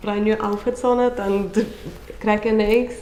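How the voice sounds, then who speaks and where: In a non-native accent, the speaker talks at a moderate pace in a flat monotone, with audible room echo and noticeable background noise. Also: woman. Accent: foreign. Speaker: chef. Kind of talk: interview comments.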